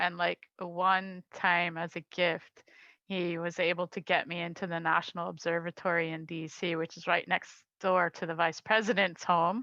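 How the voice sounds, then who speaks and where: A woman with an American accent talks at a moderate pace in a fairly low pitch with a bright, sharp tone and monotone, flat intonation, in a dry, close sound with no echo and a quiet background. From US, Washington DC. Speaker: astronomy club member. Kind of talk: casual interview. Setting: video call.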